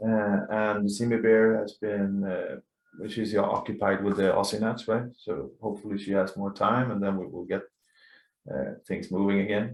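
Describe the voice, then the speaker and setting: With a Swedish accent, a man speaks fairly slowly in a fairly low pitch and fairly even intonation. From Sweden. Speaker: laser tag player and council member. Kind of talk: podcast interview. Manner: halting.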